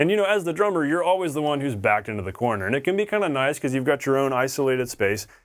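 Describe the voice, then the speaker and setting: A man's fairly high voice, very fast, with very wide pitch swings and hardly any pauses, on a very clean recording with a silent background. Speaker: drum teacher. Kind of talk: tutorial. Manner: casual, conversational.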